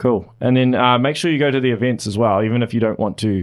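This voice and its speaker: In a New Zealand accent, a man speaks. His pace is fairly quick. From Auckland, New Zealand. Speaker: podcast host. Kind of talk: casual interview. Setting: studio.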